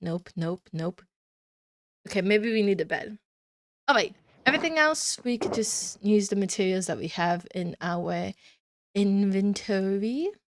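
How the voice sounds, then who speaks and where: In a dry, close sound with no echo, an unremarkable speaking voice moves at a fairly slow pace with ordinary pitch variation. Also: woman. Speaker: Minecraft let's play creator. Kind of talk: casual gameplay commentary. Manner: casual with many fillers.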